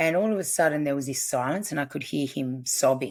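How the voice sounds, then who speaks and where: A woman speaks with a very deep, low pitch and ordinary pitch variation. Her pace is moderate, and the recording is very clean with a silent background. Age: 40s. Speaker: family constellations practitioner. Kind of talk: interview.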